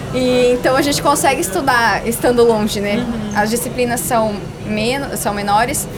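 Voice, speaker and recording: A high-pitched woman amid noticeable background noise and audible room echo. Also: ordinary pitch variation, moderate pace. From Brazil, western Paraná border region (Medianeira). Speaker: overlanding traveller and doctoral student. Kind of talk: casual interview chat. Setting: exhibition stand at a car meet.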